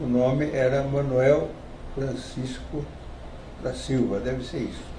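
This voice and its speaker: There is noticeable background noise. A man speaks at a very slow pace, his intonation monotone and flat. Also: medium pitch for a man. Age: 80s+. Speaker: retired doctor. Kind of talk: interview answer.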